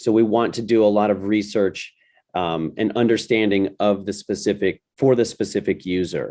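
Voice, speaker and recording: Against a quiet background, a man speaks with a fairly low pitch, a dark, mellow tone and fairly even intonation. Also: moderate pace. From United States. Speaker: design thinking educator. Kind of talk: webinar presentation.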